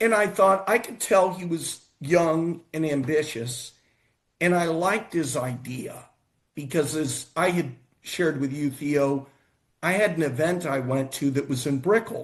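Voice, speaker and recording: A man with a plain, everyday voice, fairly high-pitched for a man, at a fairly slow pace. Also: ordinary pitch variation. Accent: American. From United States. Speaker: futurist and investment fund manager. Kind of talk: casual show conversation.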